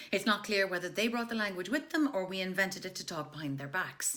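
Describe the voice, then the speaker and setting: Someone with an Irish accent speaks with lively intonation over noticeable background noise. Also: woman. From Ireland. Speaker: actress, voice artist, comedy writer. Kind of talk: comic history reading. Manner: humorous.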